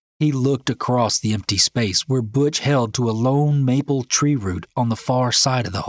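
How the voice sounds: The voice heard here is a natural reading voice. Pitch moves up and down in an ordinary way.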